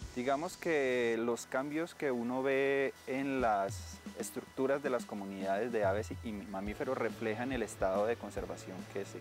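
Over clear music in the background, a man speaks at a fairly slow pace. The sound is dry with no echo. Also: ordinary pitch variation. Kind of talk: interview answer. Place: forest. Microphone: lapel.

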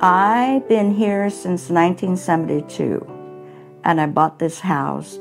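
Behind speech at a fairly slow pace, clear music plays in the background. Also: woman. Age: 70s. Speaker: homeowner, charity fund recipient. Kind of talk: interview answer. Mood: warm, grateful. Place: kitchen. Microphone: lapel.

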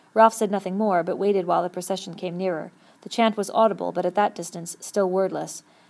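The speaker reads aloud in a natural voice with fairly even intonation.

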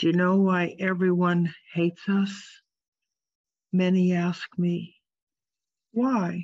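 A woman speaks very slowly in a flat monotone, with long, frequent pauses, very even loudness, a quiet background and a dry sound with no echo. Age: 80s+. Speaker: artist giving a keynote talk. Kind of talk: lecture. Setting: video call. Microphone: video call.

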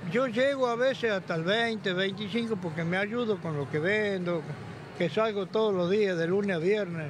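At a fairly slow pace, the speech sounds dry with no echo, set against noticeable background noise. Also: man, high pitch for a man, ordinary pitch variation. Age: 70s. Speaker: retiree and street vendor; street vendor. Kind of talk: street interview. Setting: outdoors. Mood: complaining, resigned. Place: hall. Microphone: handheld.

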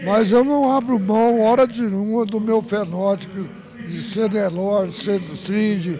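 Against noticeable background noise, a man with a high pitch is heard dry with no echo. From rural Brazil, raised on a farm. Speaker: cattle breeder, ranch owner. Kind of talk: interview. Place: garden. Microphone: handheld.

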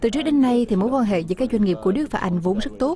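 A woman's fairly high voice, dark and mellow in tone, with lively intonation

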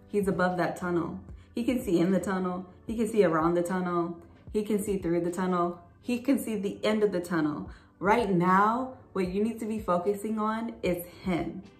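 A woman talks in a room with clear echo, her pitch moving in a normal way. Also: moderate pace. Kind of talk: bible study talk to viewers. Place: home room. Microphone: phone near.

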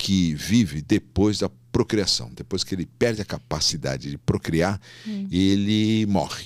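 A man's fairly low-pitched voice against a quiet background. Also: dry sound with no echo. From São Paulo city, Brazil; Brazil. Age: 60s. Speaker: gynecologist and obstetrician; guest. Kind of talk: casual interview. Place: studio. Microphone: studio mic.

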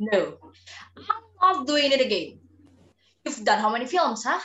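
A woman puts on a character voice, fairly high in pitch and bright, sharp in tone, with big pitch swings at a fairly slow pace.

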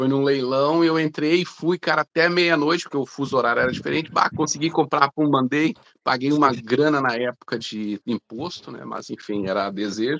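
A man with a fairly high pitch talks with ordinary pitch variation and hardly any pauses. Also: moderate pace. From Belo Horizonte, Brazil. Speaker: airbrush artist; guest. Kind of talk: casual chat. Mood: relaxed, friendly. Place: home room. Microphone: video call.

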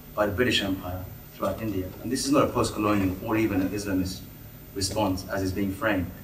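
Fairly quick and delivered in a flat monotone, the speech has audible room echo and light background noise. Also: man. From Bangladesh. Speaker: audience member. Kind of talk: audience question. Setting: public meeting with audience. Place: hall.

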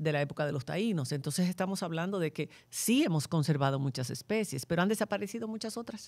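With lively intonation and a fairly quick pace, a woman talks in an unremarkable speaking voice pitched fairly low. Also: very clean recording, silent background. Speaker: podcast host. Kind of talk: moderated panel discussion.

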